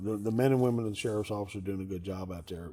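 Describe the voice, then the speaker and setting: A man speaks with an American accent at a fairly low pitch. Noticeable background noise runs behind him. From Maryland, US. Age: 60s. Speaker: county sheriff. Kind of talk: interview. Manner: halting, repeats words.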